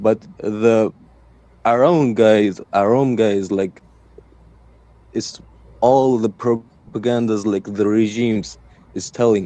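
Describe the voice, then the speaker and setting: At a very slow pace with long, frequent pauses, a man in a Persian accent speaks at medium pitch in a dark, mellow tone with fairly even intonation. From Iran. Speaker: caller. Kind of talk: debate. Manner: halting.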